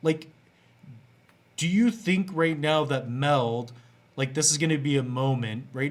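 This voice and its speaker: Man's fairly high voice with ordinary pitch variation. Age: 30s. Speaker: crypto youtuber. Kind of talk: casual interview. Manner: hesitant, many fillers.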